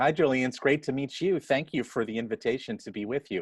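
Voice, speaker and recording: Speaking at a fairly quick pace with lively intonation, a man with an American accent and an ordinary speaking voice sits at a medium pitch, the sound dry and close with no echo against a quiet background. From Queens, New York City. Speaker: nonprofit executive. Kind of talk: interview.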